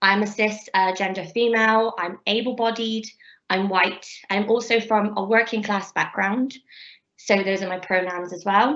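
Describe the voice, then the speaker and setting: A woman with a Bristolian accent, at a moderate pace, medium pitch and fairly even intonation. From England, Bristol. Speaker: PhD researcher. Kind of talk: lecture.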